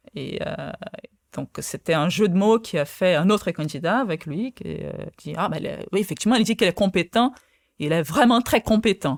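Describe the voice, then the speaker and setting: Someone with a Portuguese accent speaks at a moderate pace with lively intonation, big swings in loudness and long, frequent pauses, in a dry, close sound with no echo. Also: woman, medium pitch for a woman. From Brazil. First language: Portuguese (speaking French). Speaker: quantum physicist. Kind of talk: interview. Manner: halting, many fillers.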